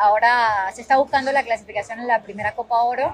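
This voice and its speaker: The speech comes at a very fast pace. Pitch variation is ordinary. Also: woman. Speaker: podcast host. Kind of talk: interview. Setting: outdoors at a football venue.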